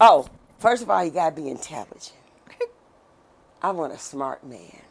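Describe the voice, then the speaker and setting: A woman speaks with an animated tone and very wide pitch swings. Her pitch is very deep and low. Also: long, frequent pauses, big swings in loudness. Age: 60s. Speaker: podcast host. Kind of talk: casual chat.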